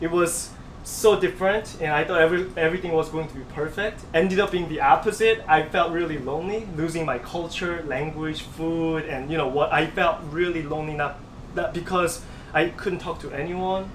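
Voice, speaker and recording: A high-pitched man with a Korean accent, moderate pace, fairly even intonation and noticeable background noise. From South Korea. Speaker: pianist and composer. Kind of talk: interview answer.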